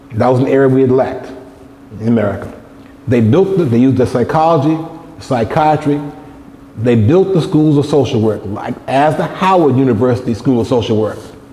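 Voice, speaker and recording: Amid noticeable background noise and audible room echo, a man of medium pitch talks at a fairly quick pace with ordinary pitch variation and long, frequent pauses. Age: 60s. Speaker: lecturer. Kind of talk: lecture.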